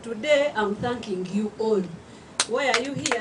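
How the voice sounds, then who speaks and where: Her fairly high voice moves at a fairly slow pace with ordinary pitch variation, as the woman speaks through audible room echo and noticeable background noise. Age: 60s. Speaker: author. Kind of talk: speech at a book launch. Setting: event hall with audience, microphone.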